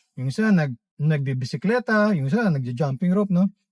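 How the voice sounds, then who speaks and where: A man's somewhat breathy, fairly high voice at a fairly quick pace, with very wide pitch swings. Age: 50s. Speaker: vlogger. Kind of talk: casual monologue. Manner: halting, many fillers.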